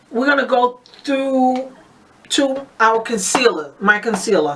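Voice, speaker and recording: A woman talks with ordinary pitch variation amid noticeable background noise. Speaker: beauty vlogger. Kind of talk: casual product review tutorial. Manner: hesitant with fillers.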